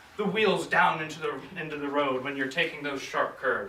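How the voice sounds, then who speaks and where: A man with an American accent speaks at a fairly high pitch, with audible room echo and noticeable background noise. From United States. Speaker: hypnotherapist giving a club speech. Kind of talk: contest speech.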